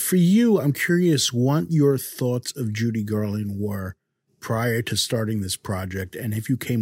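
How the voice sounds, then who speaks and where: A man speaks with a fairly low pitch and lively intonation in an unremarkable speaking voice. The recording is very clean, with a silent background. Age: 50s. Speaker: podcast host. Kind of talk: interview; scripted narration.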